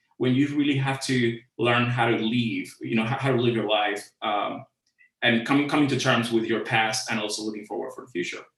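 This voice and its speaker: A speaker with a Cuban accent talks in a fairly even intonation. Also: man. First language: Spanish. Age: 40s. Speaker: creative director. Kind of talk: conference talk. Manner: halting, many fillers.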